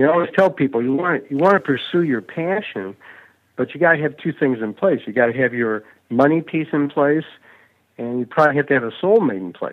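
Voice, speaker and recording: Here is a man with an ordinary speaking voice, pitched fairly high, at a fairly quick pace. His intonation is lively. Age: 60s. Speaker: public speaking coach and author. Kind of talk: interview. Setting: podcast interview.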